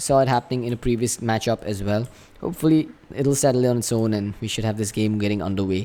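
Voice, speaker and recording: A man speaks in a dark, mellow tone. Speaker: esports caster. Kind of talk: live commentary.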